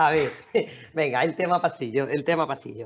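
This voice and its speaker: A woman speaks with lively intonation. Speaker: lawyer, panel regular. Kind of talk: casual panel discussion. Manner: fast.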